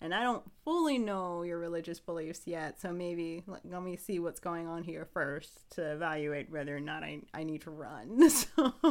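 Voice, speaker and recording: With a plain, everyday voice, a woman speaks fairly low in pitch at a moderate pace, with ordinary pitch variation and hardly any pauses. Her loudness swings widely, and the recording is very clean with a silent background. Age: 30s. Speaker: podcast co-host. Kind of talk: casual chat.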